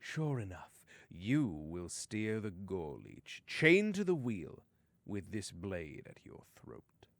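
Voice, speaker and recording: Using a put-on character voice, a man talks very slowly at a fairly low pitch with very wide pitch swings. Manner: menacing.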